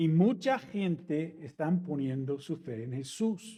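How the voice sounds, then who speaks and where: A man with an English accent, a dark, mellow tone, fairly high pitch and lively intonation, in a dry, close sound with no echo. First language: English (speaking Spanish). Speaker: pastor. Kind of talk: sermon.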